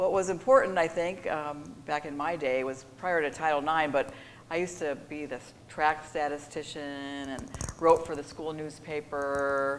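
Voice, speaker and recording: Fairly even intonation at a moderate pace, with big swings in loudness, audible room echo and noticeable background noise. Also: woman, very deep, low pitch for a woman. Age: 60s. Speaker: sports executive. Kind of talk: interview. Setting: stage with audience.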